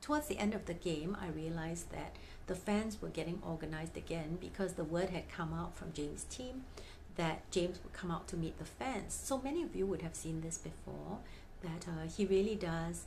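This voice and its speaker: At a moderate pace, a woman with a fairly low pitch and ordinary pitch variation speaks over light background noise. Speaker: fan vlogger. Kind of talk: casual vlog chat. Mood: cheerful storytelling. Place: home room.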